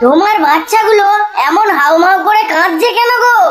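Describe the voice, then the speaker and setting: A cartoonish character voice at an extremely high pitch, with clear background noise. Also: moderate pace. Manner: friendly, earnest.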